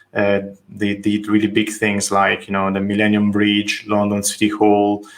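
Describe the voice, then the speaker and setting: A man with an Italian accent and a fairly low pitch. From Italy, Tuscany. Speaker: architect. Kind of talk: interview conversation. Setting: video call.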